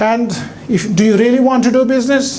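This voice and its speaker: With noticeable background noise and audible room echo, a man speaks at a high pitch with ordinary pitch variation. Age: 60s. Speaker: businessman. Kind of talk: keynote speech. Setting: stage with audience. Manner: conversational, animated.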